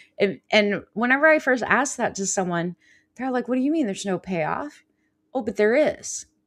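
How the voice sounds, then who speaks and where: In an unremarkable speaking voice, a woman talks at a moderate pace with a fairly high pitch and lively intonation in a very clean recording with a silent background. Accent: American. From California. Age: 50s. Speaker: life coach and healer. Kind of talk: live show chat.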